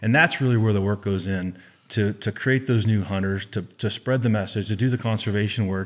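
A man with a plain, everyday voice talks at a fairly quick pace in a fairly low pitch with fairly even intonation, on a very clean recording with a silent background. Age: 40s. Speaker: conservation organization staff. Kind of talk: casual interview.

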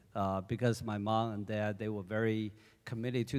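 A man talks at a medium pitch in a monotone, flat delivery. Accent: Chinese. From China. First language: Chinese. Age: 40s. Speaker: church deacon. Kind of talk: testimony.

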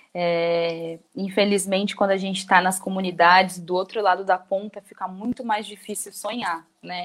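At a moderate pace and with hardly any pauses, a woman with a medium-pitched voice speaks in a monotone, flat intonation. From São Vicente, São Paulo coast, Brazil. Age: 20s. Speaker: social project coordinator. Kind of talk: interview. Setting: radio studio with video call.

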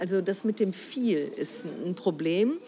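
This woman's intonation is lively. Noticeable background noise can be heard behind her. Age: 60s. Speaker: broadcasting council member. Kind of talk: interview. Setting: café in a train station.

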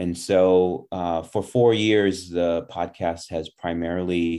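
On a very clean recording with a silent background, a man with an Upper Midwest accent speaks very slowly in a very deep, low voice with a dark, mellow tone. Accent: Upper Midwest American. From Milwaukee, Wisconsin. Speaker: podcast host. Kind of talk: interview. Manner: hesitant, many fillers.

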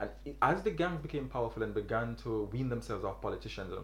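A man at a very fast pace, with audible room echo and noticeable background noise. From Jamaica. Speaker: graduate student podcast co-host. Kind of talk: casual discussion.

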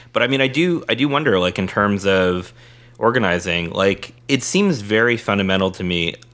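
A man in an American accent, very deep and low in pitch, with lively intonation and noticeable background noise. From San Diego, California. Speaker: podcast host. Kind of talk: casual political discussion.

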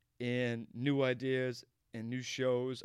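This is a man speaking. He has a medium pitch and an American accent. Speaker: podcast host. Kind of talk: casual comedic podcast banter.

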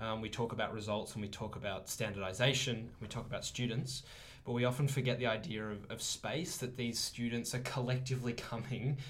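A man with an Australian accent talks at a fairly quick pace in a somewhat breathy voice, with audible room echo. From Australia, Melbourne. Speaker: teaching student. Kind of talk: casual chat.

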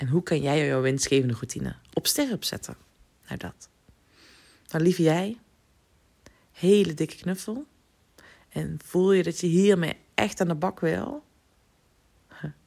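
Pausing long and often at a fairly slow pace, a woman uses lively intonation with a fairly low pitch and a dark, mellow tone. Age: 30s. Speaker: podcast host and business coach. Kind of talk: solo podcast monologue. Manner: animated.

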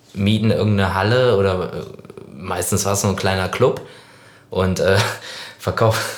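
Against noticeable background noise and audible room echo, a man talks in a fairly low pitch. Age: 30s. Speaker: podcast co-host and band musician. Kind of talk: casual chat.

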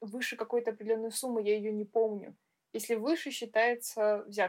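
The speaker is a woman whose pitch sits fairly high. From Russia. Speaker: music school teacher and podcast co-host. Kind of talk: casual chat. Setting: online call.

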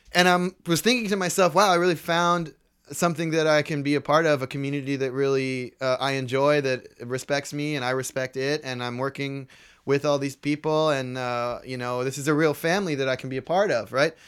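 With an ordinary speaking voice, a man talks at a fairly quick pace in a fairly high pitch with ordinary pitch variation, on a very clean recording with a silent background. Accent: American. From San Jose, Bay Area, California. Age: 20s. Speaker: bike messenger and musician. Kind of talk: casual chat. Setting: studio.

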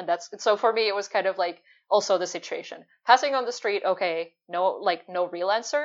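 A woman with a Finnish accent at a fairly quick pace, medium pitch and ordinary pitch variation. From Finland. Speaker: UX and service designer. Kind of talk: casual interview.

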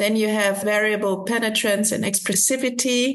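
An ordinary speaking voice from a woman, fairly high in pitch, with fairly even intonation. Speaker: metabolic physician researcher. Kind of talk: expert interview.

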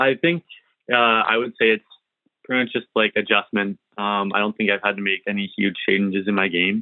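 This man talks at a moderate pace with a fairly low pitch. He has a plain, everyday voice. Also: fairly even intonation. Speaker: junior hockey goalie. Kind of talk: interview.

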